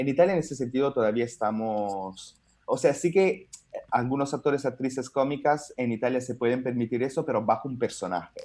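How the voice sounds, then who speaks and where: Ordinary pitch variation and a fairly quick pace in a dark, mellow tone. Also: man, medium pitch for a man. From Italy. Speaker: stand-up comedian. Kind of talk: interview answer.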